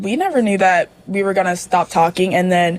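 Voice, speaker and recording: A woman with an American accent at medium pitch, over noticeable background noise. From US South, Mississippi. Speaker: student. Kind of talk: casual chat.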